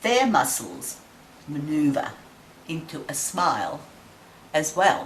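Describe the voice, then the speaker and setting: A woman with an Australian accent at a very deep, low pitch, lively intonation, a very slow pace and long, frequent pauses, amid noticeable background noise and audible room echo. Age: 70s. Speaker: interviewee sharing reflections. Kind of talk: personal reflection to camera.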